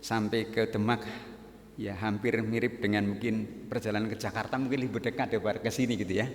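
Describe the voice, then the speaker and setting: Some room echo surrounds a man whose fairly low voice keeps a fairly even intonation. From Central Java, Banyumas region (Purbalingga). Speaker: guest pastor. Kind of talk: sermon. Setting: church.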